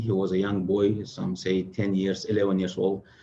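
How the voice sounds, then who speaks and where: A fairly low male voice with audible room echo and noticeable background noise. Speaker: Islamic religious speaker. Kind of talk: religious lecture. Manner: fast; halting with many fillers.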